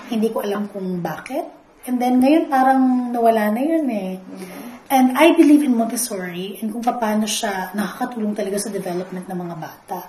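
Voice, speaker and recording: Lively intonation and big swings in loudness at a fairly quick pace, with noticeable background noise and audible room echo. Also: woman, fairly high pitch for a woman. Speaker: school academic coordinator. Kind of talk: interview.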